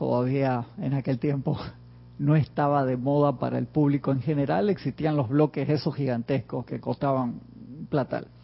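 His voice fairly high, a man talks at a fairly slow pace with fairly even intonation. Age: 50s. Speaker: spiritual teacher. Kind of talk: online class.

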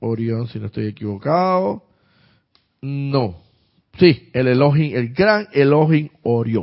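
A man at a very slow pace, with lively intonation and long, frequent pauses. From Panama, Santiago de Veraguas. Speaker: spiritual teacher. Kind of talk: live-streamed spiritual class. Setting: live online stream. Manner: halting, with many fillers and repetitions.

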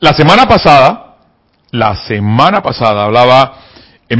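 Delivering his words fairly slowly, the man's intonation stays lively. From provinces of his country, hours from the capital. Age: 50s. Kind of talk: spiritual teaching talk. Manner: repetitive, emphatic.

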